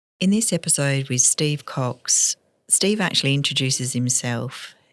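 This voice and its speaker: The speech moves at a moderate pace in an Australian accent. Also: woman. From Western Australia. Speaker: podcast co-host. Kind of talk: scripted intro.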